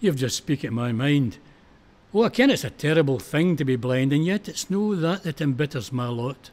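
A man with a Scottish accent speaks at a fairly slow pace and a medium pitch. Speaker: poetry reciter. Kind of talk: poetry reading.

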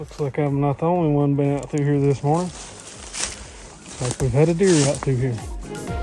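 Clear music plays behind a man talking at a moderate pace. His intonation is fairly even, and the sound is dry with no echo. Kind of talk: casual vlog chat. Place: forest. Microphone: phone near.

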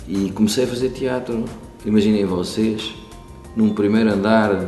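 Fairly slow speech with ordinary pitch variation, faint music in the background and audible room echo. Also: man. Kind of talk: interview answer. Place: stage.

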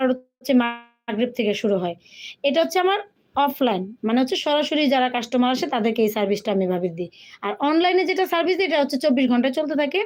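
Her pitch is high and swings very widely. The woman's loudness stays very even. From Bangladesh. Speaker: online clothing seller. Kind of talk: casual livestream chat. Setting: live video stream.

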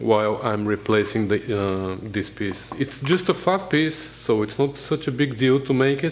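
In a normal speaking voice, a man talks at a fairly slow pace and fairly low pitch with ordinary pitch variation, over light background noise. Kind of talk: tutorial.

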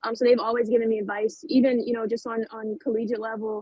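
A woman speaks at a fairly quick pace with fairly even intonation, and the sound is dry with no echo. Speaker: remote guest. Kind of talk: interview answer. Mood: calm, earnest. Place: home room. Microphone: earbuds.

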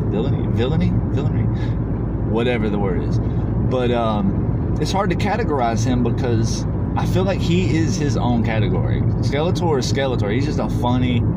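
A man at a fairly quick pace amid loud background noise. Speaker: vlogger. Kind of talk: casual vlog chat. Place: car. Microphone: phone near.

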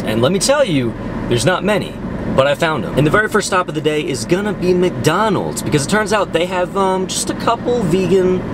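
The man's voice is dry with no echo, while loud background noise fills the clip. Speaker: vlogger. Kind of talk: casual vlog chat. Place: car. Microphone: phone near.

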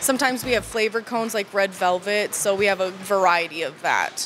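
Over light background noise, a woman talks at a very fast pace with ordinary pitch variation. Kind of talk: interview answer. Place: shop. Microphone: handheld.

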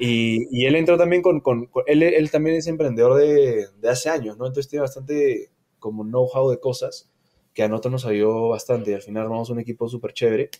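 A man with a dark, mellow tone speaks at a fairly quick pace and medium pitch, with ordinary pitch variation. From Peru, Lima. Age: 30s. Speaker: entrepreneur, culinary school co-founder. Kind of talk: casual interview.

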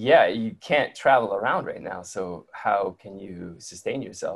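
A man with an American accent, light background noise behind him. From Detroit, US Midwest. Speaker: travel writer and photographer; interview guest. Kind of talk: casual interview chat. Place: home room. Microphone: video call.

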